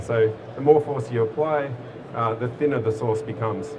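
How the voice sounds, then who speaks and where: Against noticeable background noise and audible room echo, a man with an Australian accent speaks with fairly even intonation. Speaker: software company director. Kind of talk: conference presentation. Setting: stage with audience at a conference. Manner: casual, with many fillers.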